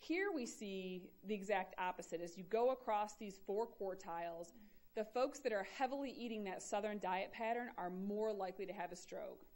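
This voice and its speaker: A woman with an ordinary speaking voice talks at a moderate pace, her pitch medium and its variation ordinary. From Michigan, US Midwest. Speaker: epidemiology professor. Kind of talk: lecture.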